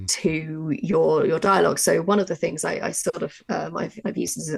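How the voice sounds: A woman's low, fairly quick voice with little pitch movement, a slightly husky edge and vocal fry.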